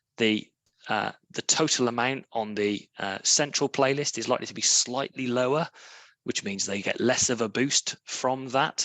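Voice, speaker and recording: The voice carries a British accent. Its intonation is fairly even. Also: man. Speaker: charity fundraising platform presenter. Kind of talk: webinar presentation with Q&A. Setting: online webinar. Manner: hesitant, many fillers.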